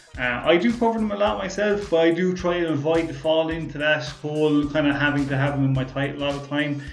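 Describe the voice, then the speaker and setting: Audible room echo surrounds a man speaking with an Irish accent. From Ireland. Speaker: car YouTuber, podcast host. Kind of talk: casual chat reading viewer comments. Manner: sometimes talks fast; mumbles at times, many fillers.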